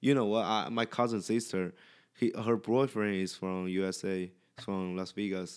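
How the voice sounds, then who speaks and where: In a very clean recording with a silent background, a man with a fairly low pitch speaks at a moderate pace with fairly even intonation. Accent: Chinese. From China. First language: Chinese. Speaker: podcast guest. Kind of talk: casual chat. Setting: at home in the host's apartment. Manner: halting.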